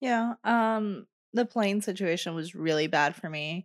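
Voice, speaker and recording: With a quiet background and a dry, close sound with no echo, a woman speaks fairly slowly in an unremarkable speaking voice with ordinary pitch variation. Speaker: podcast host. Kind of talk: casual chat. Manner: playful banter.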